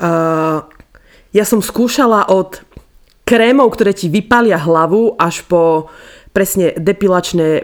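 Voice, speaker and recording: Fairly slow delivery from a woman in a normal speaking voice, its pitch varying in an ordinary way. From eastern Slovakia. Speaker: podcast co-host. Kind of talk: casual chat.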